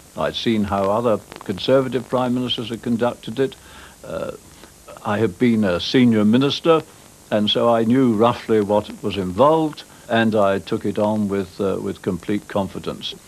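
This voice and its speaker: Against noticeable background noise, a man talks at a moderate pace at a medium pitch with ordinary variation. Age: 80s+. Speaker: former prime minister. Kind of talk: interview answer. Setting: old TV recording with interference.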